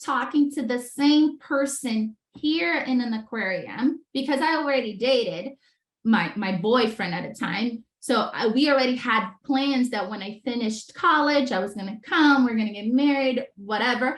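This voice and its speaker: A woman speaks in a high pitch with ordinary pitch variation. Her moderate pace has hardly any pauses. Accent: Brazilian Portuguese. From Brazil (Rio de Janeiro). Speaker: entrepreneur, former dolphin trainer. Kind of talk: podcast interview.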